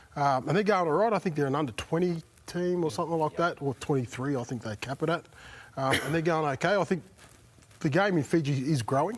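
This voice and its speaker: At a very fast pace, a man speaks with an Australian accent. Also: fairly high pitch for a man, ordinary pitch variation. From Brisbane, Australia. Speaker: former rugby league player. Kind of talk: casual chat. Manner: halting.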